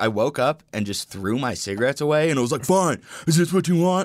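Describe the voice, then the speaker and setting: An unremarkable speaking voice from a man with an American accent, fairly quick in pace and lively in intonation, on a very clean recording with a silent background. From Colorado, US. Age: 20s. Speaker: electronic music producer. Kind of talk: casual chat.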